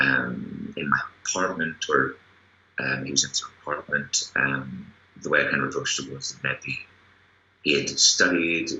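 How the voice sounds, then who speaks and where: Noticeable background noise accompanies a man with a Northern Irish accent who speaks at a moderate pace with long, frequent pauses. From Northern Ireland. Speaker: actor. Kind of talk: interview.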